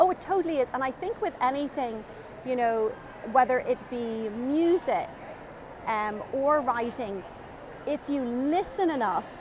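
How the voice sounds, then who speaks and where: A woman speaks with a strong Irish accent, high-pitched and with lively intonation. Her pace is fairly slow, with long, frequent pauses, and background noise is noticeable. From Ireland, Dublin. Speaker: children's author. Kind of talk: interview chat.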